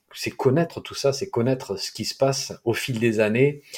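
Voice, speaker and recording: In a southeastern French accent, a man speaks with ordinary pitch variation on a very clean recording with a silent background. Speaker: podcast host, herbal medicine blogger. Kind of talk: interview. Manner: slow.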